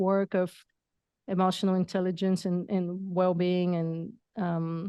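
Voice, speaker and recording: A woman with a non-native accent speaks at a fairly slow pace and medium pitch in a flat monotone, with a dry, close sound, no echo, and a quiet background. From Bulgaria. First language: not English. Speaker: entrepreneur and coach. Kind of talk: podcast interview.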